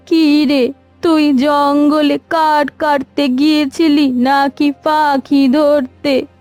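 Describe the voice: A woman's cartoonish character voice, high-pitched and monotone with flat intonation, very slow, over faint music in the background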